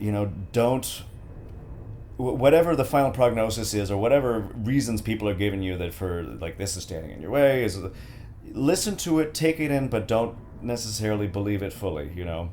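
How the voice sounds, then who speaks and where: A fairly quick, fairly low-pitched man with an American accent, lively intonation, big swings in loudness and audible room echo. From United States. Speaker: voice actor. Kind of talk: casual chat. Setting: studio. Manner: halting.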